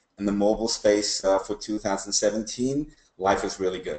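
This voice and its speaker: A man talks at a fairly quick pace. His voice is fairly low in pitch with a dark, mellow tone. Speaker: consultant presenting a webinar. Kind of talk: webinar presentation. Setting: online webinar. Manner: fast.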